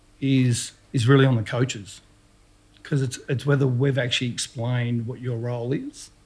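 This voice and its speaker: With an Australian accent, a man speaks at a moderate pace in a somewhat breathy voice. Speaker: retired footballer. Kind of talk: casual interview.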